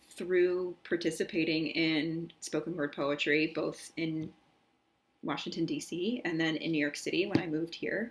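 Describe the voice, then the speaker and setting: An unremarkable speaking voice from a woman, fairly low in pitch with fairly even intonation. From United States, New York. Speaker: spoken word poet. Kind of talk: talk to camera about poetry. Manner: casual, conversational.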